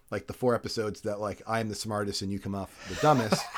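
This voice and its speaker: There is noticeable background noise. A man speaks at a very fast pace. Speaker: podcast host. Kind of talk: casual chat.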